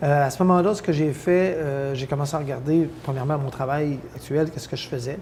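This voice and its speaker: Through noticeable background noise and audible room echo, a man speaks at a fairly high pitch. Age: 60s. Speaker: mayor. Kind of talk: interview. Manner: hesitant, many fillers.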